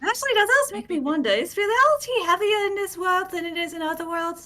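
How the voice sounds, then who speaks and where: A put-on character voice, squeaky and extremely high in pitch, moves along at a fairly quick pace. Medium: actual play.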